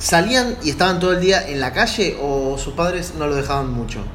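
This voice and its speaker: Amid noticeable background noise and audible room echo, a man speaks at a moderate pace in a fairly high pitch. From Buenos Aires, Argentina. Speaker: podcast host. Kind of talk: casual chat. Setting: video call.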